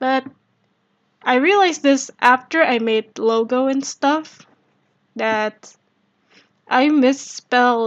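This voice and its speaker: A woman speaks with an Indonesian accent. Her pace is fairly slow. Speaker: streamer. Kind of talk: casual live stream chat. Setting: live stream.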